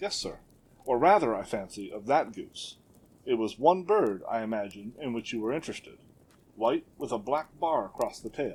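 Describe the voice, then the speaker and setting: A man puts on a shaky character voice at medium pitch, moving at a moderate pace with very wide pitch swings. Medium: read story. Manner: nervous, anxious.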